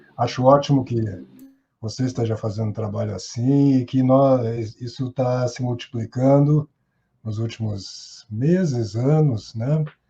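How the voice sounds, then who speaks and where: Speaking at a fairly slow pace, this man has a medium pitch, a dark, mellow tone, fairly even intonation and a somewhat breathy quality. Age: 60s. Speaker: actor and theatre teacher. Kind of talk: podcast interview.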